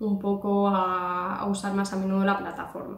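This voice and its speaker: In a Spanish accent, a woman speaks at a medium pitch and a fairly slow pace with monotone, flat intonation, and audible room echo surrounds her. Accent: Peninsular Spanish. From Spain. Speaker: YouTuber. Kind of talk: vlog monologue. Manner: hesitant, many fillers. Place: home room. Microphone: phone near.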